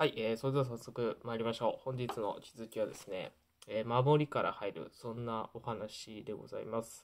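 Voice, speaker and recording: At a moderate pace, a man talks with a medium pitch and fairly even intonation, his loudness swinging widely. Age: 20s. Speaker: YouTuber sharing life lessons. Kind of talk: casual vlog talk to camera. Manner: hesitant, many fillers. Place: home room.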